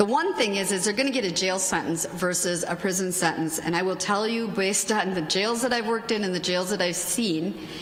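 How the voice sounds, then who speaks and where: A woman speaks with audible room echo. Noticeable background noise runs underneath. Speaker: judge and conference panelist. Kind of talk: conference talk. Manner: fast.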